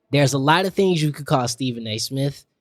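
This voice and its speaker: Here a man is talking. The pitch of his voice is medium. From Detroit, west side (Brightmoor). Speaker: podcast co-host. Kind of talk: casual chat.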